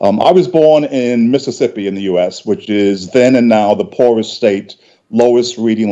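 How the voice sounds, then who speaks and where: A man speaks in a New York accent with a dark, mellow tone. His pace is moderate and his pitch varies in an ordinary way. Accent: New York City. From New York City (South Bronx). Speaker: industry panelist. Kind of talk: panel discussion. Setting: digital broadcast. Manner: halting, repeats words.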